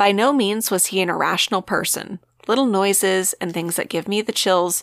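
This is a natural reading voice. It comes across as a natural reading voice throughout.

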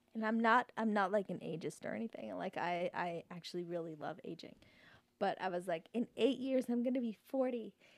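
At a fairly quick pace, a woman with an American accent has a plain, everyday voice at medium pitch with ordinary pitch variation, in a dry, close sound with no echo. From Canada, then US (Oklahoma). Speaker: musician. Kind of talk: casual chat.

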